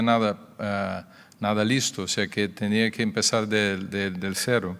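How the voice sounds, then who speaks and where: Here a man speaks with a Brazilian accent at a fairly low pitch. His pace is fairly slow. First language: Portuguese (speaking Spanish). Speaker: cardiologist. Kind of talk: conference talk. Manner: halting.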